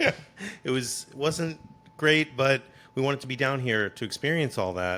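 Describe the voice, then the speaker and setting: Speaking in a Boston accent, a man with a bright, sharp tone and medium pitch keeps a moderate pace, ordinary pitch variation, and long, frequent pauses. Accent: New England (Boston). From Massachusetts, Boston area. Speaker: content creator, theme park and gaming. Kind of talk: casual chat. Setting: podcast interview.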